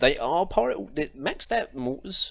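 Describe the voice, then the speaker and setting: A man's voice, fairly high-pitched. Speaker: gaming streamer. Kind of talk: live gameplay commentary. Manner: fast.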